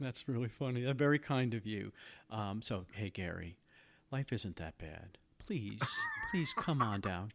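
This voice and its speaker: Against noticeable background noise, a man with a medium pitch speaks fairly slowly in a calm, soothing tone with lively intonation. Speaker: podcast host.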